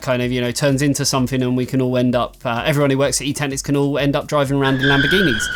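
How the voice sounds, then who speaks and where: With music in the background, a man talks at a very fast pace and a fairly high pitch. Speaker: tech reviewer and website owner. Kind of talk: Q&A vlog. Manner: casual, filler-heavy.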